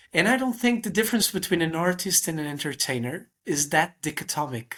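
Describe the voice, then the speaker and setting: A man with a Portuguese accent speaks at a fairly quick pace in a high, bright, sharp voice with lively intonation, on a very clean recording with a silent background. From Portugal. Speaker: magician. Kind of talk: casual chat. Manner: halting.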